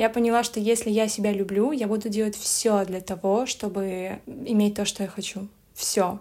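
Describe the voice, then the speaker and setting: This woman has a dark, mellow tone and a medium pitch. She talks at a moderate pace with monotone, flat intonation. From Belarus. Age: 20s. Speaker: blogger. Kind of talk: casual chat.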